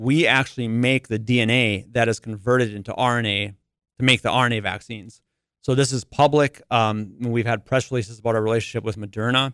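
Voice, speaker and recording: Speaking with an Upper Midwest accent, a man at a medium pitch leaves hardly any pauses. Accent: Upper Midwest American. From North Dakota, US Upper Midwest. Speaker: biotech company executive. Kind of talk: interview. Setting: studio.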